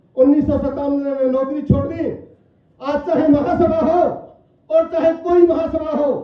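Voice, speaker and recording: Loud and flat in a monotone, a man speaks at an extremely high pitch, with audible room echo. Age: 60s. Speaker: politician. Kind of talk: political speech.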